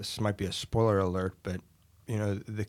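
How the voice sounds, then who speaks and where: A man with an unremarkable speaking voice and an American accent speaks at a fairly low pitch with fairly even intonation, recorded dry and close with no echo, in a very clean recording with a silent background. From Western Pennsylvania. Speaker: newly ordained deacon. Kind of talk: casual interview chat.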